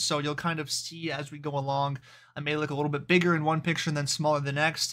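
A man speaks at a fairly quick pace in a bright, sharp tone. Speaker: fitness vlogger. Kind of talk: casual vlog chat. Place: home room. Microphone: webcam.

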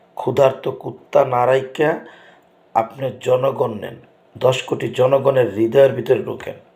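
Somewhat breathy and dark, mellow in tone, a man's medium-pitched voice swings widely in loudness. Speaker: political commentator vlogger. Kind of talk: political video commentary monologue. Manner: animated.

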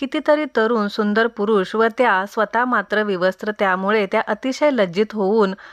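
The voice reads in an unforced way, its pitch varying an ordinary amount.

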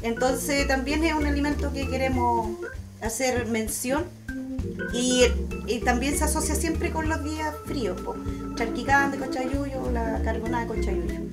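Over loud background music, a woman speaks at a fairly slow pace. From Tomé, Biobío Region, Chile. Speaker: traditional cook. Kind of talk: cooking talk to camera. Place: kitchen. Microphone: phone near.

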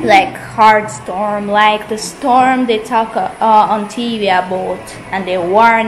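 The speech moves at a very slow pace with ordinary pitch variation, and music plays in the background. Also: woman. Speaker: vlogger. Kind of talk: casual vlog chat. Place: home room. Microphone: phone near.

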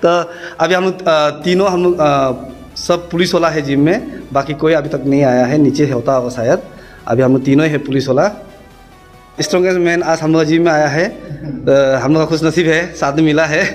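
A man talks at a moderate pace with very even loudness and ordinary pitch variation. Faint music plays in the background. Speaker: police officer fitness vlogger. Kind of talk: casual vlog chat. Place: gym. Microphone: phone near.

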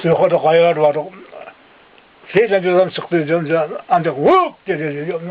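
Noticeable background noise behind a man's high voice at a fairly slow pace. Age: 80s+. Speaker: villager, eyewitness to wartime massacres. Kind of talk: interview answer.

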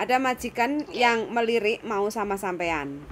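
Over light background noise, a woman with an ordinary speaking voice talks at a moderate pace, her fairly high pitch carrying lively intonation. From Indonesia. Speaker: YouTuber, migrant worker recruiter; vlogger. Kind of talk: casual interview. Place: home room. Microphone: phone near.

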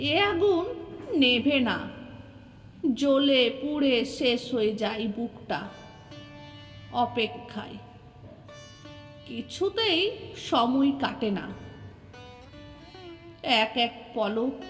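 A high-pitched woman with lively intonation, with music in the background. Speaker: poet. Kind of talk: poetry reading.

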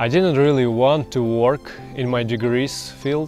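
Faint music plays in the background as a man speaks at a fairly slow pace with ordinary pitch variation, in a dry sound with no echo. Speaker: channel host telling his life story. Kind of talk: personal story narration to camera. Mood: calm, reflective. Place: waterside. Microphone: lapel.

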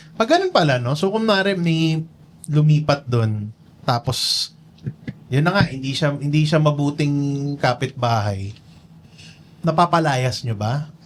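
With noticeable background noise, a man of fairly high pitch speaks at a fairly slow pace, using lively intonation and long, frequent pauses. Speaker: interviewer. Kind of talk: casual interview.

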